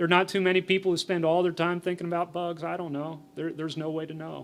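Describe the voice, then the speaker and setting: A man with a high voice. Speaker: entomologist giving a presentation. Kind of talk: conference presentation with Q&A. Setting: forum stage with audience. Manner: mumbling; conversational, with fillers and repetitions.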